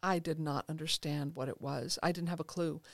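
Heard in a very clean recording with a silent background and a dry, close sound with no echo, a woman uses an ordinary speaking voice, fairly low in pitch, with fairly even intonation. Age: 50s. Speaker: therapist and author. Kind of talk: interview. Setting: studio.

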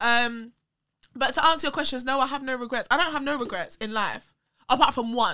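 A woman's high-pitched, raised and projected voice, bright and sharp in tone, at a fairly quick pace with ordinary pitch variation. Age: 20s. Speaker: social media personality and performer. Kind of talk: casual chat. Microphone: camera mic instead of studio mic near the end.

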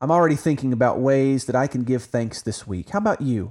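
This is a normal speaking voice with an American accent, lively in intonation and fairly quick in pace. The recording is very clean, with a silent background. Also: man. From Oklahoma. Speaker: Bible podcast host. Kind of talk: religious podcast discussion.

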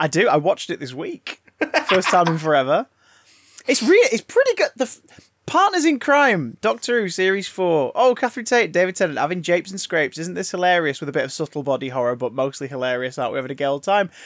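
With a high pitch and very wide pitch swings, a man speaks very fast in an English accent, the sound dry and close with no echo. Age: 30s. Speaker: podcast host. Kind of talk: casual chat.

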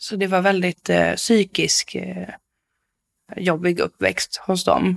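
The sound is dry and close, with no echo. Delivery comes at a very slow pace. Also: woman. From Stockholm area, Sweden. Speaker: support worker, former offender. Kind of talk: interview testimony. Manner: energetic.

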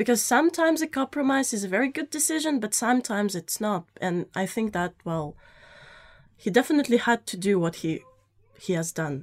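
A woman talks at a fairly quick pace with a Russian accent and a fairly high pitch. Her pitch swings very widely, and the sound is dry and close with no echo. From Russia (Saint Petersburg). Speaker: journalism student. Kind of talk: studio interview. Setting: studio. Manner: halting.

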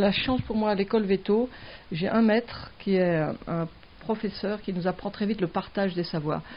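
Using an ordinary speaking voice, a woman talks at medium pitch with fairly even intonation. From southern France (Mediterranean). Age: 60s. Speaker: veterinarian, wildlife centre founder. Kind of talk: interview.

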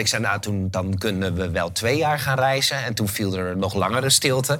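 A medium-pitched male voice with audible room echo. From Netherlands, Haarlem. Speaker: event organizer and author. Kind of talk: interview.

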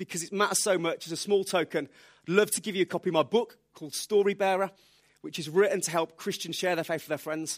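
A man with a Birmingham accent talks at a very fast pace in a high pitch with ordinary pitch variation, captured in a dry, close sound with no echo on a very clean recording with a silent background. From England, Birmingham. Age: 30s. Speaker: preacher. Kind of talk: sermon. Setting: church.

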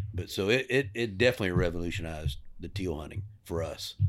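On a very clean recording with a silent background, a man speaks at a fairly low pitch in a Texan accent. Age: 60s. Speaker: hunting lodge owner. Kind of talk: casual chat.

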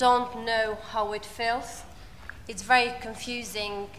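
Noticeable background noise sits behind a woman with an Albanian accent. She speaks at a high pitch, very slowly, in a monotone, flat intonation. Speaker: asylum seeker and volunteer speaker. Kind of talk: personal testimony on panel.

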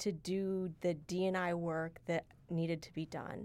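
A woman's plain, everyday voice at medium pitch with fairly even intonation, on a very clean recording with a silent background. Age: 40s. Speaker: university diversity director. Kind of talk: casual chat.

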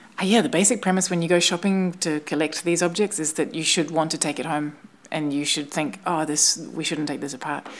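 Speaking at a fairly quick pace, a woman talks with a New Zealand accent. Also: fairly low pitch for a woman, ordinary pitch variation. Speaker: installation artist. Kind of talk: casual chat. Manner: halting.

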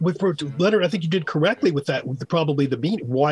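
A man speaks with a fairly high pitch and lively intonation. His voice is somewhat breathy. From New York. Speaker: language author. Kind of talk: call-in radio show. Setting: remote call-in.

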